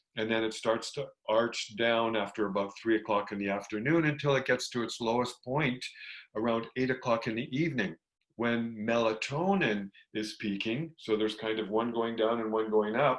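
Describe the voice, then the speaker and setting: A man's unremarkable speaking voice at medium pitch and moderate pace, over a quiet background. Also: ordinary pitch variation. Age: 60s. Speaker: health retreat program director. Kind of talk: educational talk.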